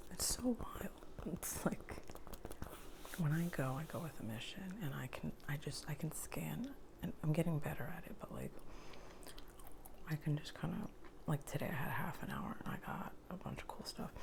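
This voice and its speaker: The speaker whispers with long, frequent pauses, keeping a moderate pace. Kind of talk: ASMR thrift haul ramble to camera. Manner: soft whispering with gum chewing.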